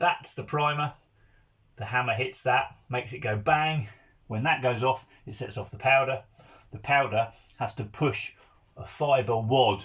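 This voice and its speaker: Here a man at a medium pitch talks at a fairly slow pace with long, frequent pauses. His intonation is fairly even, while his loudness swings widely. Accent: English. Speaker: countryside YouTuber. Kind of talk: tutorial.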